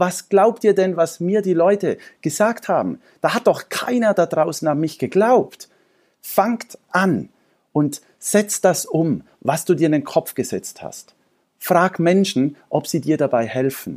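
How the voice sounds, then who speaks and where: Speaking very slowly, a man uses a high voice with lively intonation. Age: 40s. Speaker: entrepreneur. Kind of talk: interview.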